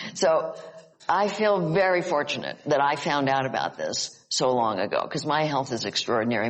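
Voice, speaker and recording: A woman with an American accent speaks in a very deep, low voice with lively intonation over noticeable background noise. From Upstate New York. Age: 80s+. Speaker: psychologist and author. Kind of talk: casual chat. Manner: halting.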